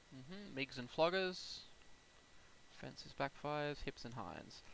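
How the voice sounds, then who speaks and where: His voice has a bright, sharp tone, lively intonation and vocal fry. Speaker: flight sim gameplay youtuber. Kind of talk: gameplay commentary. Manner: fast; casual.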